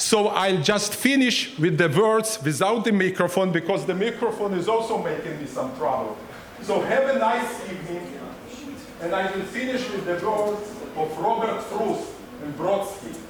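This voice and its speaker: Speaking at a moderate pace, a man with a high pitch and ordinary pitch variation is heard with audible room echo and noticeable background noise. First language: not English. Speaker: cultural center host. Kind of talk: event welcome speech. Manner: halting. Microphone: microphone trouble, finishing without microphone.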